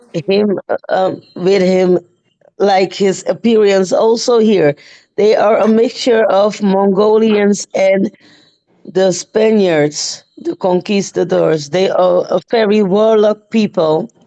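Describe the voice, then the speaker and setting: A woman's medium-pitched voice with a non-native accent, at a very slow pace, with very even loudness and a dry, close sound with no echo. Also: ordinary pitch variation. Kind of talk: casual live-stream chat. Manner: halting, hesitant.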